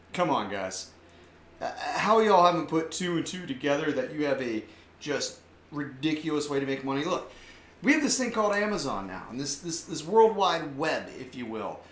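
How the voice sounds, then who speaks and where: Amid noticeable background noise and audible room echo, a man with a fairly high pitch talks at a moderate pace, with very wide pitch swings and big swings in loudness. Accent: American. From US South. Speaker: online commentary show host. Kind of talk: casual commentary monologue; reading news aloud. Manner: animated.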